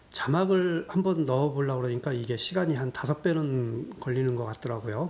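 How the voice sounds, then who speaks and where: Medium in pitch and somewhat breathy, a man talks at a moderate pace with ordinary pitch variation. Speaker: YouTuber solving sudoku puzzles. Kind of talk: casual Q&A monologue. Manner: hesitant, many fillers.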